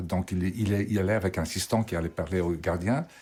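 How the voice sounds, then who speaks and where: A man with a very deep, low pitch and a dark, mellow tone speaks somewhat breathily at a moderate pace, with ordinary pitch variation. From Belgium. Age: 70s. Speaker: photographer. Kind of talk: documentary interview.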